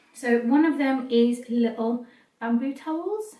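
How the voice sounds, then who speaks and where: In a British accent, a woman speaks at a high pitch. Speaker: vlogger. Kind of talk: product haul vlog. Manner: hesitant with fillers.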